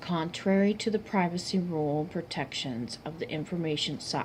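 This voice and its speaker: Her voice fairly low and somewhat breathy, a woman talks at a moderate pace with ordinary pitch variation. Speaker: university student. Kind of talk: class presentation. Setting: filmed by a cameraman. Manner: halting, stumbling over words.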